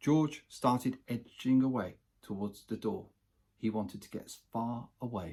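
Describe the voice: This is plain reading aloud from start to end.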